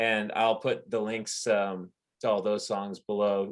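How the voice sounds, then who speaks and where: With a normal speaking voice, a man talks at a fairly low pitch and a fairly slow pace. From Canada. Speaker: podcast host. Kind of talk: casual interview.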